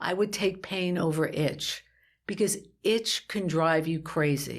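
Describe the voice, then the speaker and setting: Speaking at a fairly slow pace, a woman uses lively intonation in an unremarkable speaking voice. The recording is very clean, with a silent background. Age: 60s. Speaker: patient sharing her illness story. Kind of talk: interview testimony.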